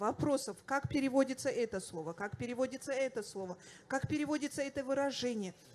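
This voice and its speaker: A woman with a high-pitched voice talks at a fairly quick pace. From Dagestan, Russia. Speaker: language activist, teacher; teacher. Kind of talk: panel discussion. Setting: festival stage with audience. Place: hall. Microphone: handheld.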